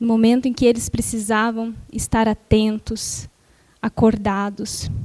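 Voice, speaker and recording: A soft-spoken woman talks in a fairly high voice. Her pace is fairly slow. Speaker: spiritist lecturer. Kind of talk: lecture.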